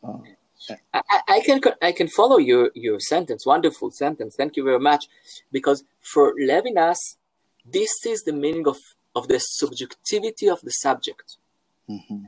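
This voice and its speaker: This man speaks with an Israeli accent at a moderate pace, leaving long, frequent pauses. His loudness swings widely, and the sound is dry and close with no echo. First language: Hebrew. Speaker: philosophy professor. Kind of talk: interview. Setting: video call from home. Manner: halting.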